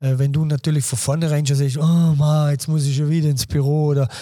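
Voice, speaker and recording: Speaking very fast with a Vorarlberg accent, a man has a fairly high pitch, a somewhat breathy, dark, mellow tone and monotone, flat intonation. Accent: Vorarlberg Alemannic dialect. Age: 50s. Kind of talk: casual interview chat.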